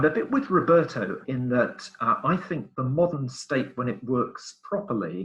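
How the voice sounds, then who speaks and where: Here is a man with a British accent and a fairly high pitch. His tone is bright and sharp, and his intonation is lively. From Britain. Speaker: webinar participant. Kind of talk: webinar discussion.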